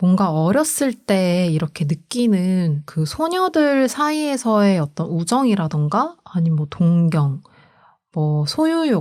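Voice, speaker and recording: A woman's fairly low, dark and mellow voice with lively intonation at a very slow pace, on a very clean recording with a silent background. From provincial Korea (outside Seoul). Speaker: podcast co-host. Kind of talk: casual chat.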